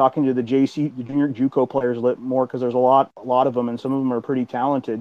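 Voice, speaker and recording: A man with a medium pitch talks at a fairly quick pace in an ordinary speaking voice. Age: 30s. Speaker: college football coach. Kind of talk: casual chat. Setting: call-in to live online audio room.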